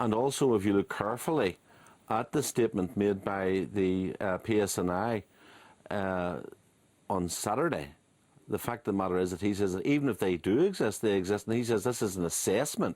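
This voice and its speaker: A man with a Belfast accent and ordinary pitch variation. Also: fairly low pitch for a man, fairly quick pace, very clean recording, silent background. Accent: Belfast Northern Irish. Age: 60s. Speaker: former republican strategist and author. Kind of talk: radio interview.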